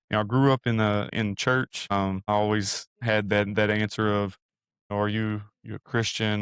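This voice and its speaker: A man with an East Texas accent speaks at a fairly low pitch with monotone, flat intonation, in a dry, close sound with no echo on a very clean recording with a silent background. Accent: East Texas Southern US. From Northeast Texas, Sulphur Springs. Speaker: university program director. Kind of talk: testimony. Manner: halting, many fillers.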